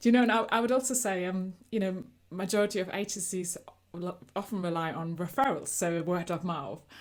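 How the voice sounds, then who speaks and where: Her pace is fairly quick. This woman talks at a medium pitch that varies in an ordinary way. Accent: German. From Germany. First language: German. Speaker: agency coach. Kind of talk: interview.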